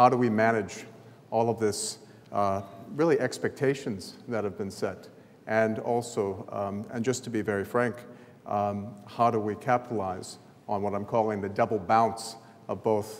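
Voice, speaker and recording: A man's fairly low voice with an American accent, a moderate pace, fairly even intonation and audible room echo. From US South, New Orleans. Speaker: sports event chief executive. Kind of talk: conference presentation. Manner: halting, many fillers.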